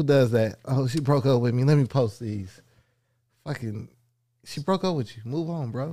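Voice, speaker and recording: Recorded very cleanly against a silent background, a man with a dark, mellow, somewhat breathy voice at medium pitch talks at a moderate pace with ordinary pitch variation and long, frequent pauses. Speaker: podcast co-host. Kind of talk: casual chat.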